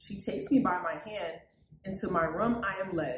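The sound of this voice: Audible room echo surrounds a woman's fairly low voice, which has ordinary pitch variation and a moderate pace.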